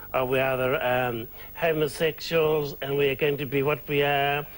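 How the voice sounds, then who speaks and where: With a New Zealand accent, this man talks at a fairly high pitch. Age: 60s. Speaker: drag performer and nightclub owner. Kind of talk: TV interview. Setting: studio.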